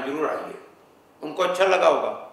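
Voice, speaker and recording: A man speaks over noticeable background noise, with audible echo in the room. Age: 70s. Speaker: philanthropist, charity founder. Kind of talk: interview.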